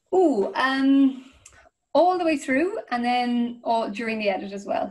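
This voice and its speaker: Lively intonation marks a woman with an Irish accent. Her pitch is high and her pace fairly slow. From Ireland. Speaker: crime fiction author. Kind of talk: interview answer. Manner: enthusiastic, casual. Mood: warm, enthusiastic. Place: home room. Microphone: video call.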